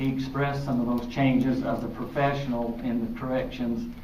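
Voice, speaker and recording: Amid noticeable background noise and audible room echo, a man with an American accent speaks at a moderate pace in a monotone, flat intonation. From Utah, Draper area. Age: 60s. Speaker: city mayor on panel. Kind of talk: panel discussion.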